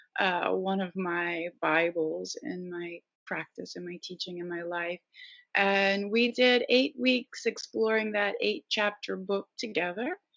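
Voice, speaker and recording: Talking at a fairly slow pace in an ordinary speaking voice, a woman keeps a medium pitch with ordinary pitch variation while her loudness swings widely. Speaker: yoga teacher. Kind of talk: interview.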